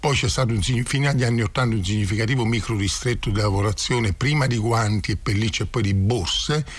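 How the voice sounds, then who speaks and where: A man talks fairly quickly in a somewhat breathy, medium-pitched voice, with ordinary pitch variation. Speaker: community association founder. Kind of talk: radio interview. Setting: studio.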